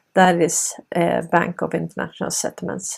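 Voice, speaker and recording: Speaking at a fairly slow pace with a Swedish accent, the woman has a fairly low pitch. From Sweden. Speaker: political commentary video host. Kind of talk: monologue commentary.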